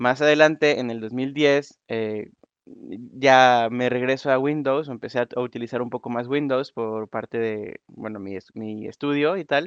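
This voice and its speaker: In a normal speaking voice, a man talks at a fairly slow pace with a medium pitch and ordinary pitch variation, his sound dry and close with no echo against a quiet background. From Mexico, Nuevo León. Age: 20s. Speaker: software developer. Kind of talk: conference talk. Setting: online voice conference room.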